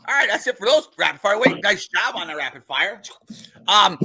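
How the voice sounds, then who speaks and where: A man with an American accent speaks at a very fast pace in a raised, projected voice with a high pitch. Noticeable background noise sits behind him. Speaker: podcast host. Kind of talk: casual chat. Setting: live stream.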